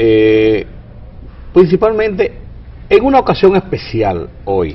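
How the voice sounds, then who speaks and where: Long pauses come often as this man talks. His pace is fairly slow. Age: 60s. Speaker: TV interview host, journalist. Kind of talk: interview.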